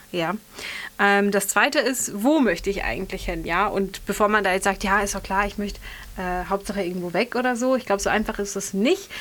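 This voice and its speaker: This is an ordinary speaking voice from a woman with a medium pitch. She moves at a fairly quick pace with ordinary pitch variation. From western Germany (Bergisch Gladbach). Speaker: radio host. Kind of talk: casual chat.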